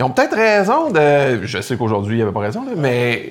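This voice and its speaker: Pitched fairly high, a man speaks at a fairly quick pace with very wide pitch swings. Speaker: podcast co-host. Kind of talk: casual interview.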